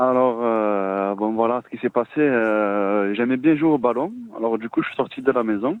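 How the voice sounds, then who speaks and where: The man's pitch sits at a medium level with ordinary variation. He speaks at a fairly slow pace. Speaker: caller. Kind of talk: testimony. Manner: halting.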